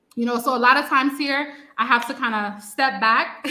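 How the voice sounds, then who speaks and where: A woman with a New York accent and fairly even intonation. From US, New York, Haitian family. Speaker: Haitian-American who moved to Haiti. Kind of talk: interview on a live stream. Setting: online live stream.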